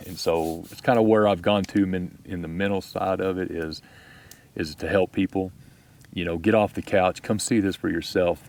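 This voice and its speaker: In a Texas accent, a man with a very deep, low pitch speaks at a moderate pace, his intonation fairly even while his loudness swings widely. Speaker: outdoor video creator. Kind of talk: casual chat. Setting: outdoors at campfire.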